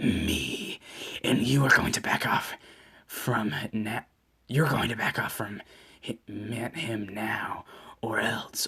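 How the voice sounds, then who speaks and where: A man whispers in a raspy, put-on character voice. He goes at a very slow pace with long, frequent pauses. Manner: menacing.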